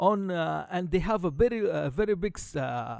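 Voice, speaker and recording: A man with an Arabic accent talks at a fairly slow pace. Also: very clean recording, silent background. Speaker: podcast host. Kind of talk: casual chat. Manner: halting, many fillers.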